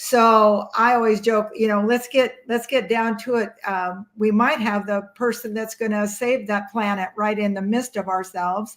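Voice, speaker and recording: A woman speaks with a fairly high pitch. Her intonation is monotone and flat. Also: moderate pace. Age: 60s. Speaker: mental health advocate and author. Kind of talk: interview conversation.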